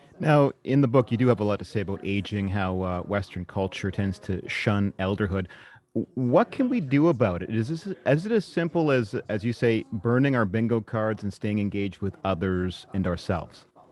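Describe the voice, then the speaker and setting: With a plain, everyday voice, a man speaks at a moderate pace and fairly low pitch, with hardly any pauses. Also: ordinary pitch variation. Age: young. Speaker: broadcast host. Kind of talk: interview.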